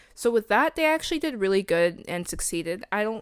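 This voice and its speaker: In a very clean recording with a silent background, a woman with an American accent talks at a moderate pace, her pitch swinging very widely. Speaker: video essayist. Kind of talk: casual commentary. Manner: casual with many fillers.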